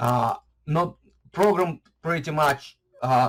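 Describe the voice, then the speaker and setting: Talking at a fairly slow pace, a man with a non-native accent has a fairly high pitch and a somewhat breathy voice. His intonation is lively. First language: not English. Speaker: YouTuber on online marketing. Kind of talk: casual vlog talk to camera. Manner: halting, many fillers and restarts.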